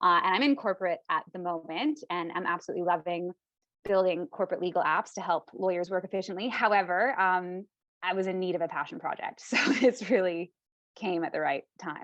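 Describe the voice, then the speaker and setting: Talking at a fairly quick pace and a medium pitch, a woman with a Canadian accent uses an unremarkable speaking voice with ordinary pitch variation, recorded dry and close with no echo against a quiet background. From Canada. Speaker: lawyer and co-founder. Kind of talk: interview.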